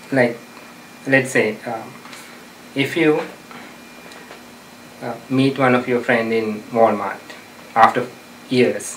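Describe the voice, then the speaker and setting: This man talks very slowly, with long, frequent pauses and a medium pitch. Noticeable background noise and audible room echo surround him. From outside the US. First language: not English. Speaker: self-help advice giver. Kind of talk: interview advice talk. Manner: hesitant, many fillers.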